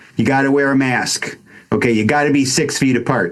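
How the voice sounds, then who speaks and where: A man with an American accent, speaking at a fairly slow pace. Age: 60s. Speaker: wellness coach. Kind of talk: casual chat. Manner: halting.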